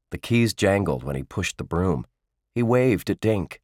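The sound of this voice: Over a quiet background, someone reads in an unforced reading voice, and the intonation is lively.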